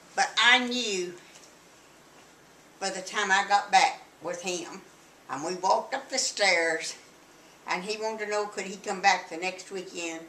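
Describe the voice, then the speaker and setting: A woman with a Texan accent speaks at a medium pitch and a moderate pace, with ordinary pitch variation. Audible room echo and noticeable background noise are present. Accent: Texan Southern US. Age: 80s+. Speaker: grandmother interviewee. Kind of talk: family interview, reminiscing.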